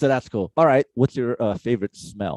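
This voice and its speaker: Heard in a dry, close sound with no echo, a man speaks at a medium pitch with ordinary pitch variation. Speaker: musician and stream host. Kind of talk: casual chat. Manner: fast.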